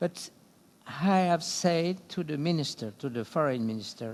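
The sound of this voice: Speaking at a moderate pace, a man uses lively intonation in a fairly high pitch with a slightly mellow tone.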